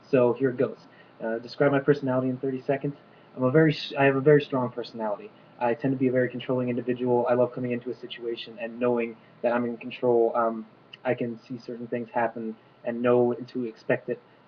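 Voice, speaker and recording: Someone talks at a very fast pace in a flat monotone over noticeable background noise. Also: man, medium pitch for a man. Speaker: reality show applicant. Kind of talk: audition video monologue.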